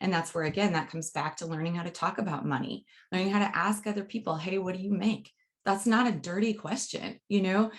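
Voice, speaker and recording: A woman's somewhat breathy voice at a medium pitch and a very fast pace. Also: ordinary pitch variation. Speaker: podcast host and university communication educator. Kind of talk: casual interview.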